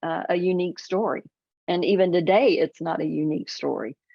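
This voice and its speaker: A woman speaks in a plain, everyday voice. The pitch variation is ordinary. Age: 60s. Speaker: author. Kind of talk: interview.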